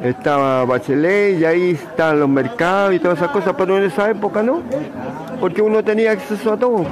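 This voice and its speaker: A man speaks with a Chilean accent, his pitch swinging very widely. Noticeable background noise runs underneath. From Chile, San Bernardo. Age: 80s+. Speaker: elderly interviewee recalling the past. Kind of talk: interview. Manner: halting, frequent fillers.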